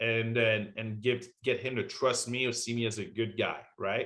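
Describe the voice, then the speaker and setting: At a moderate pace, a man with a French accent speaks at a medium pitch. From France. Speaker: war veteran. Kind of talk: interview.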